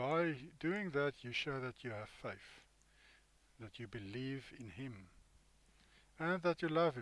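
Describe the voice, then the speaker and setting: Speaking with an Afrikaans South African accent, a man talks at a fairly slow pace and medium pitch with ordinary pitch variation. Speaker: bible teacher. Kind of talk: bible study commentary. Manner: halting.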